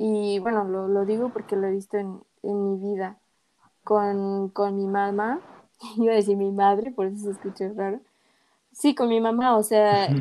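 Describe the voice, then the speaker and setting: This woman talks at a fairly slow pace and a medium pitch. Her intonation is monotone and flat. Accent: Mexican. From Mexico. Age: 20s. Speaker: podcast co-host, English teacher. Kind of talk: casual chat.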